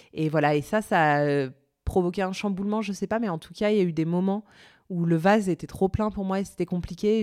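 A woman's fairly low-pitched, ordinary speaking voice at a fairly quick pace, with fairly even intonation, in a very clean recording against a silent background. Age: 30s. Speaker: podcaster. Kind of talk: interview.

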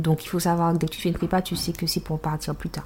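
Somewhat breathy female voice at a fairly low pitch. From Martinique. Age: 20s. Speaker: dance teacher. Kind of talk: casual interview. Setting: at home.

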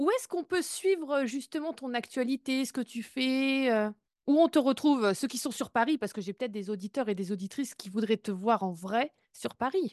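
A woman talks in a normal speaking voice at a moderate pace. The sound is dry and close with no echo, and the background is quiet. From Brittany, France. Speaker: podcast host. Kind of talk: interview podcast.

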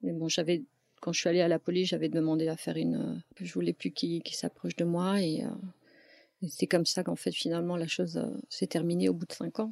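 There's no echo; the sound is dry and close. A woman talks at a very fast pace. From France. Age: 40s. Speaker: domestic violence survivor. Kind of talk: testimony. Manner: halting.

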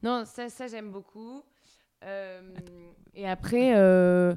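A woman is speaking. Her tone is dark and mellow. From Paris. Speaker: author, screenwriter and actress. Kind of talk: casual chat.

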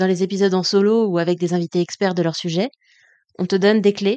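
A woman speaks at a fairly quick pace with a medium pitch and a dark, mellow tone. Her intonation stays fairly even, and the sound is dry and close with no echo over a quiet background. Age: 30s. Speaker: podcast host and coach. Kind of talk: personal monologue.

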